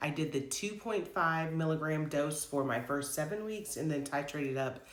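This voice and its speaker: Room echo is audible as a woman speaks at a moderate pace. Her pitch is very deep and low. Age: 40s. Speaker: health vlogger. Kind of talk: casual vlog monologue. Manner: frequent filler words, conversational.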